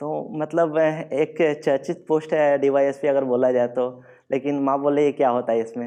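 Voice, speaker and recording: Against a quiet background, a man with a dark, mellow tone speaks at fairly high pitch with fairly even intonation. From Bihar, India. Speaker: civil services exam topper, Bihar police officer. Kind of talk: motivational stage talk.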